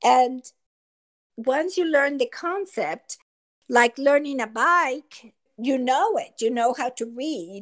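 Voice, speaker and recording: High-pitched speech from a woman with a Mexican accent, lively in intonation, very slow in pace, with long, frequent pauses. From Mexico City. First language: Spanish. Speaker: school assistant principal. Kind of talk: casual chat.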